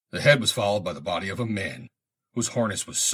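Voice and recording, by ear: Someone is reading aloud in a natural voice with fairly even intonation against a quiet background.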